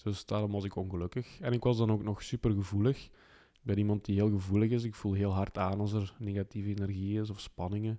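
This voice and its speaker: Very fast, monotone, flat speech with a dark, mellow tone and big swings in loudness, in a very clean recording with a silent background. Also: man, fairly low pitch for a man. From Belgium (Flanders). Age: 30s. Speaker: life mentor. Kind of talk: interview.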